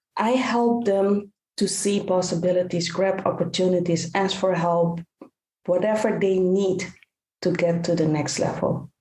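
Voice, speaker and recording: With a Dutch accent, the speaker talks at a fairly slow pace, with fairly even intonation and very even loudness. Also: woman, medium pitch for a woman. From Netherlands. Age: 50s. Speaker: caregiver coach and author. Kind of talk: podcast interview.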